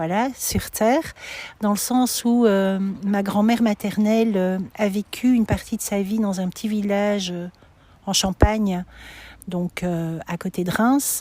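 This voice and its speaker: At a very slow pace, a woman speaks in a dark, mellow tone at medium pitch with fairly even intonation, recorded very cleanly against a silent background. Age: 60s. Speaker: pilgrim sharing her walk. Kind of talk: testimony interview. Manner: halting, many hesitations.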